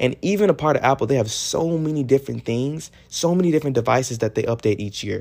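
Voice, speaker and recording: With an American accent, a man talks at a very fast pace with hardly any pauses, using lively intonation at a fairly high pitch. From Texas. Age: 20s. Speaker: podcast host. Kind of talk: casual solo podcast monologue. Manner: shifts tonality and accent.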